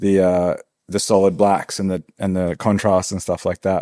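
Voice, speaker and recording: In a very clean recording with a silent background and a dry, close sound with no echo, a man with an Australian accent speaks at a moderate pace with a fairly low pitch, a dark, mellow tone and monotone, flat intonation. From Australia, rural Victoria. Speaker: tattoo artist and studio owner. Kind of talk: casual interview chat.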